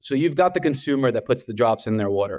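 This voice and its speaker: Over a quiet background, a man talks at a fairly quick pace. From New York, Brooklyn. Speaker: beverage company founder. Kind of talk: interview.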